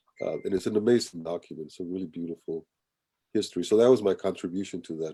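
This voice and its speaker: This man talks at a very fast pace, his pitch very deep and low and his tone dark and mellow. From Colombia, raised in Kansas City from childhood. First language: Spanish. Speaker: writer, performer and artist. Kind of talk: interview talk. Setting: video call.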